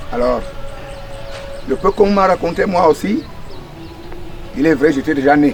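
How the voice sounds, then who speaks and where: With music in the background, a man with a fairly high pitch and ordinary pitch variation talks at a moderate pace, leaving long, frequent pauses. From Cameroon, Centre region. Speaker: village elder. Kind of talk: interview. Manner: halting.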